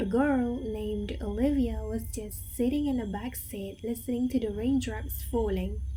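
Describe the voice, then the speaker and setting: With music in the background, a woman talks at a moderate pace. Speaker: storyteller. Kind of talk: horror bedtime story narration. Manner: soft, calming, ASMR-style.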